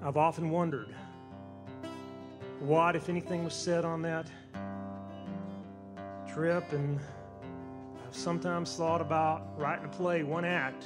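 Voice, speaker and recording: A man with an American accent speaks fairly slowly, pitched fairly high, with ordinary pitch variation. He leaves long, frequent pauses while music plays in the background. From Southern United States. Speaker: storyteller; newspaper columnist. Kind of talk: live storytelling performance.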